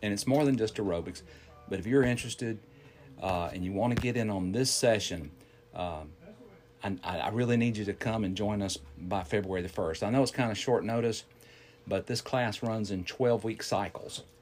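With a Southern US accent, a man talks at a moderate pace in a fairly low voice that shows ordinary pitch variation. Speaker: fitness instructor. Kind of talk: casual chat.

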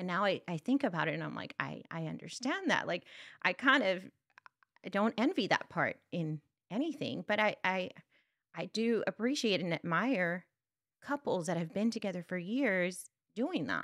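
A woman with a South Texas accent talks at a medium pitch and moderate pace, with lively intonation and vocal fry. Her long pauses come often, and the sound is dry and close with no echo. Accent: South Texas Mexican-American English. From US South Texas border, Brownsville. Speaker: instructional coach. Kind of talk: interview.

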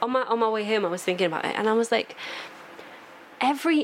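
Speaking at a fairly quick pace, a woman uses a fairly high pitch with ordinary pitch variation over noticeable background noise. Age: 20s. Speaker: podcast guest. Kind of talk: casual chat.

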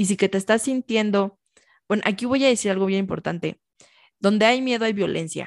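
A woman talks at a fairly quick pace in a medium pitch with ordinary pitch variation. The sound is dry and close with no echo, over a quiet background. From Mexico, Michoacán. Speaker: nutritionist. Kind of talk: interview.

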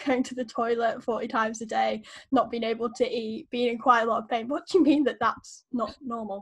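Fairly quick and fairly even in intonation, a woman talks in an unremarkable speaking voice pitched fairly high. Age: 20s. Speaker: chronic illness blogger. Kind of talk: casual chat.

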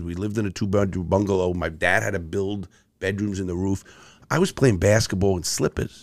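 A man with a New York accent speaks at a moderate pace, his pitch fairly low. The recording is very clean, with a silent background. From New York City (Bronx, Brooklyn). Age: 60s. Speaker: ex-convict turned motivational speaker. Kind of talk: casual interview chat.

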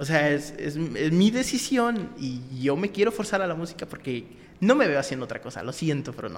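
His pitch fairly high and swinging very widely, a man talks at a moderate pace while noticeable noise fills the background. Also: big swings in loudness. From Mexico, Acapulco. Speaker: rapper. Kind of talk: interview.

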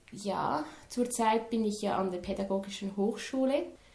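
Delivered at a very slow pace with fairly even intonation, the speech carries audible room echo and noticeable background noise. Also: woman. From Switzerland, near Lucerne. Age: 20s. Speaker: student teacher. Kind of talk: interview. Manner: halting.

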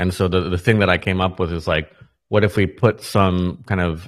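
A man with an American accent speaks at a moderate pace in a very deep, low pitch and a flat monotone. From United States. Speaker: NFT creator. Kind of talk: interview. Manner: halting.

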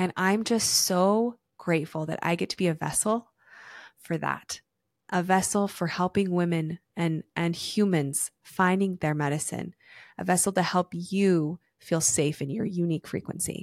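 A woman with an ordinary speaking voice talks at a fairly slow pace in a fairly low pitch with fairly even intonation, recorded dry and close with no echo in a very clean recording with a silent background. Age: 30s. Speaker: podcast host and wellness facilitator. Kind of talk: guided breathing; casual solo monologue.

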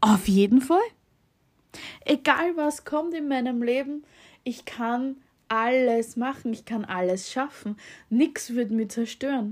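A woman with a high pitch talks at a very slow pace, leaving long, frequent pauses, with ordinary pitch variation. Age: 30s. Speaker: podcast host. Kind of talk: casual monologue. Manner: halting, many fillers.

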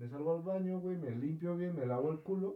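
The man's voice sits fairly high. Its pitch variation is ordinary. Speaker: podcast co-host. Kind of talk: casual chat. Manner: animated.

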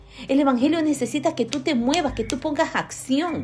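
Over music in the background, a woman with a high voice speaks at a moderate pace with fairly even intonation. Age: 50s. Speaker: lay preacher. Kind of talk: sermon.

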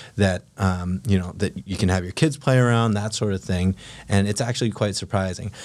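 A man with a plain, everyday voice, fairly low pitch and an American accent, at a fairly quick pace with ordinary pitch variation, on a very clean recording with a silent background. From Philippines, then California. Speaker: affordable housing entrepreneur selling mobile homes. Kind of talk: casual interview.

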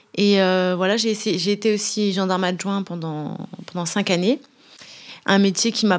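A woman with an ordinary speaking voice, medium pitch and moderate pace on a very clean recording with a silent background. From France, Brittany (Brest). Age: 30s. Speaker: professional footballer. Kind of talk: casual interview. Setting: club headquarters.

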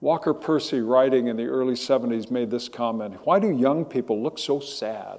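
Using an ordinary speaking voice, a man with an American accent talks at medium pitch and a moderate pace, with ordinary pitch variation and hardly any pauses. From Southern California. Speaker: pastor. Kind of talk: sermon.

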